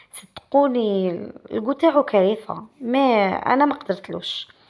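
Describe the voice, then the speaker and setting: A woman speaks with an Algerian accent and ordinary pitch variation. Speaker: pastry cook, cooking channel host. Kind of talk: cooking tutorial. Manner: casual, halting with self-corrections.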